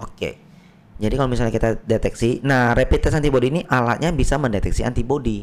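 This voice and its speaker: Ordinary pitch variation from a man talking at a very fast pace. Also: medium pitch for a man. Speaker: general practitioner doctor. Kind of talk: explanatory interview. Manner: patient, explains with analogies.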